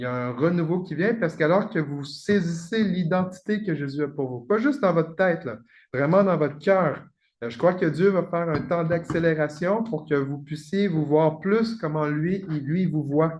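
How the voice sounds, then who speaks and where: Over a quiet background, the speaker keeps a moderate pace with ordinary pitch variation. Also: man, high pitch for a man. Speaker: pastor. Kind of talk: prophetic ministry.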